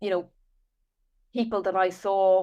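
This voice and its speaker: A woman speaks with an Irish accent at a moderate pace. Her pitch is medium and her intonation fairly even. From Ireland, Dublin. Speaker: author and business founder. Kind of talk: podcast interview.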